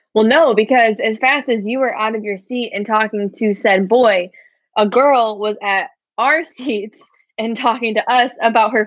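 A woman with a Midwestern American accent, fairly high in pitch, at a moderate pace with ordinary pitch variation. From Michigan, small town. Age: 20s. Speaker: podcast co-host. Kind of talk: casual chat. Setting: video call.

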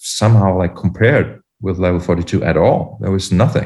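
Over a quiet background, a man with a German accent speaks in a dark, mellow tone that is somewhat breathy. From Germany. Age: 40s. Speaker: podcast host. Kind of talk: casual chat. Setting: video call.

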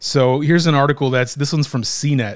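In an ordinary speaking voice, a man talks at a fairly quick pace with a fairly high pitch and ordinary pitch variation. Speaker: podcast host. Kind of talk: casual chat. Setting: studio, same room as co-hosts.

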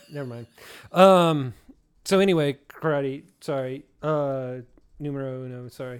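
A man with an American accent, fairly high-pitched for a man, at a moderate pace with ordinary pitch variation, big swings in loudness and long, frequent pauses, on a very clean recording with a silent background. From Southeast Kansas. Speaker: podcast host. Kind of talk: casual chat. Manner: halting.

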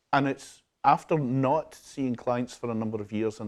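With a West Coast Scottish accent, a man speaks at a medium pitch with ordinary pitch variation. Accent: soft West Coast Scottish. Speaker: hypnotherapist and self-help audio creator. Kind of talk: interview conversation.

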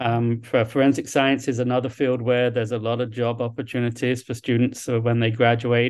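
In a southern English accent, a man talks at a fairly quick pace and medium pitch, his intonation monotone and flat, with hardly any pauses. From London, England. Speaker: university dean. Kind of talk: interview. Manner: halting.

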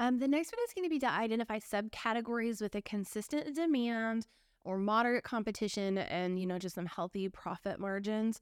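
At a fairly quick pace, a woman talks in an unremarkable speaking voice with a fairly high pitch and ordinary pitch variation, in a very clean recording with a silent background. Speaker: eBay reseller podcast co-host. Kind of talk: casual chat.

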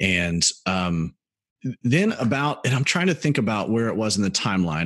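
A man speaks in an American accent with an ordinary speaking voice at a fairly low pitch. His intonation is lively, his pace moderate, and the background quiet. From US South, Birmingham, Alabama. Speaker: pastor. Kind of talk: interview testimony.

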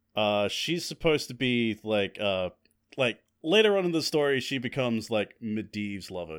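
Using a normal speaking voice, a man talks at a moderate pace with lively intonation and a fairly low pitch, recorded very cleanly against a silent background. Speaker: podcast co-host. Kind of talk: casual chat.

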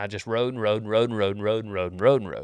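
The voice comes with an American accent in a very clean recording with a silent background. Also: man. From Texas. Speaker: comedic podcast host giving cowboy life advice. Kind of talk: casual comedic advice podcast. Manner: animated.

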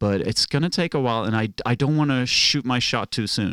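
On a very clean recording with a silent background, a man speaks fairly quickly with lively intonation and a Norwegian accent. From Norway. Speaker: stand-up comic. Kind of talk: casual chat.

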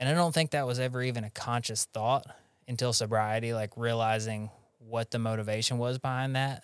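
Speech comes at a fairly quick pace in a Southern US accent with fairly even intonation. The recording is very clean with a silent background. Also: man, medium pitch for a man. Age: 30s. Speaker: podcast host in recovery. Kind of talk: casual interview chat.

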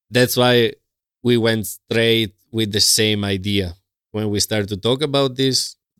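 A man with an Italian accent speaks at a fairly slow pace and a medium pitch. His intonation stays fairly even, and the sound is dry and close with no echo. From Italy. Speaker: professional Latin dancer. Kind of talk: interview. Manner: halting.

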